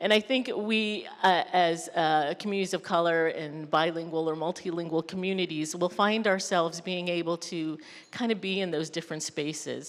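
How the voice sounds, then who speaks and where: A woman with an American accent and a fairly low pitch uses a normal speaking voice with fairly even intonation. She talks at a moderate pace with hardly any pauses, on a very clean recording with a silent background. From Mexican American community. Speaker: mental health professional. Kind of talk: panel discussion.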